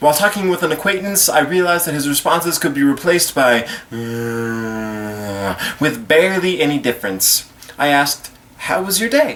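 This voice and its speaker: Noticeable background noise sits behind a man talking fairly slowly. His pitch swings very widely. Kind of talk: slam poetry performance.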